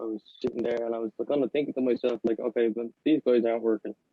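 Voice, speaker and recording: A man's medium-pitched voice with an Irish accent, at a very fast pace. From Ireland. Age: 20s. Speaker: podcast co-host. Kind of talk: casual chat.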